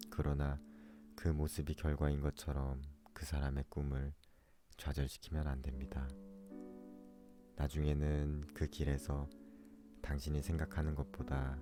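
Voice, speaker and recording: Over music in the background, a man with a very deep, low pitch speaks in a calm tone, with monotone, flat intonation at a fairly slow pace. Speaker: audiobook narrator. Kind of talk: essay reading. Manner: slow, calm.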